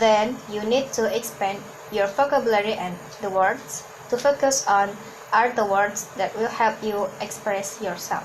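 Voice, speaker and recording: A woman with a fairly high pitch speaks in fairly even intonation over noticeable background noise. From Hong Kong. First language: Cantonese. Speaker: podcast host and speaking coach. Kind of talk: motivational tutorial. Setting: outdoors walking in a park. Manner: slight stammering on words.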